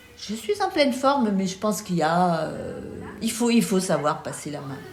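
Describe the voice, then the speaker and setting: Over music in the background, a woman of medium pitch talks at a moderate pace with lively intonation and big swings in loudness, with audible room echo. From Lorraine, eastern France. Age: 70s. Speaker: retired teacher, association president. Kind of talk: documentary interview. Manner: hesitant, many fillers.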